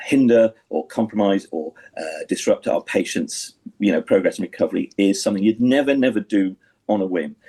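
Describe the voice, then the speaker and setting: A man speaks at a moderate pace. The sound is dry and close, without echo. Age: 60s. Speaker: senior doctor. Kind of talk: radio interview. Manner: halting, many fillers and restarts.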